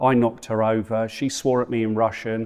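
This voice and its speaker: At a fairly quick pace, a man speaks in a medium pitch with a monotone, flat intonation against a quiet background. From England (London/Essex), moved around abroad. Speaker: podcast guest, expat project manager. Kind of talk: casual interview. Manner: talkative, many fillers.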